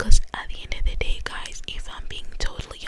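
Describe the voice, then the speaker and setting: A woman whispers at a moderate pace while noticeable background noise plays behind her. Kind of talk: ASMR whispered true crime ramble; casual talk to camera, discussion. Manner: whispered, soft-spoken.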